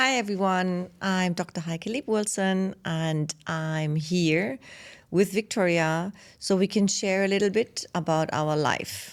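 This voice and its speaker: Speaking very slowly with a German accent, a woman keeps a medium pitch and ordinary pitch variation. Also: very clean recording, silent background. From Germany. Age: 50s. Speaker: podcast co-host, business founder. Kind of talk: casual chat. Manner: hesitant, many fillers.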